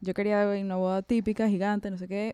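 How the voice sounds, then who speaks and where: Medium in pitch, a woman's voice has a dark, mellow tone. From Venezuela. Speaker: podcast co-host. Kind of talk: casual chat.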